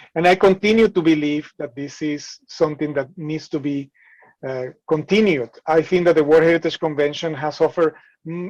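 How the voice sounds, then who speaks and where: A man with a non-native accent speaks at a fairly high pitch with ordinary pitch variation. The sound is dry and close with no echo, against a quiet background. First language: not English. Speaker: professor of heritage conservation. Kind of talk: panel discussion.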